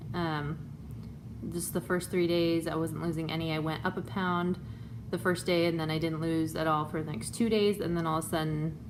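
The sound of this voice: A woman talks at a moderate pace. Her pitch is low and her intonation fairly even.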